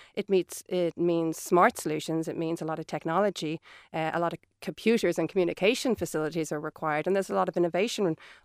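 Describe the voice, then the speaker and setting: A woman with an Irish accent at a very fast pace, with a fairly low pitch and fairly even intonation, in a dry, close sound with no echo and a very clean recording with a silent background. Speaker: energy scenario planner. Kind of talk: radio panel discussion. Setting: studio.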